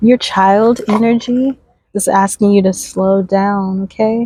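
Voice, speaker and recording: Very slow, soft-spoken delivery, monotone and flat, with a dark, mellow tone. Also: woman. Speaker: spiritual oracle card reader. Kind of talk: oracle card reading. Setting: outdoors. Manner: slow, unhurried.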